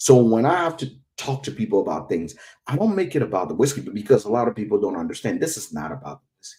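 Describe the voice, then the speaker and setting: A man's medium-pitched voice with an African accent, very fast and dark and mellow in tone, with vocal fry, big swings in loudness and very wide pitch swings. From West Africa. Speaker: whiskey educator. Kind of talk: interview.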